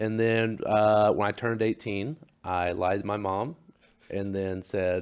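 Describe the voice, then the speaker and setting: A man has an unremarkable speaking voice, fairly low in pitch. He speaks with an American accent and fairly even intonation. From Oklahoma, US. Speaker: pro wrestler. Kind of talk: casual interview.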